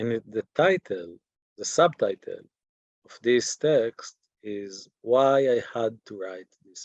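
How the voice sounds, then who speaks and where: The recording is dry and close, with no echo. A man with an Israeli accent speaks at a very slow pace. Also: medium pitch for a man. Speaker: teacher. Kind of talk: lecture. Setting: video call. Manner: halting.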